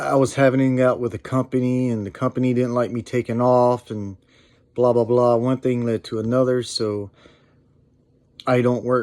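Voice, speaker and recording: Flat, monotone intonation marks this man's medium-pitched voice. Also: moderate pace. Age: 40s. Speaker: YouTuber and truck driver. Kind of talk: personal vlog update. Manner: halting.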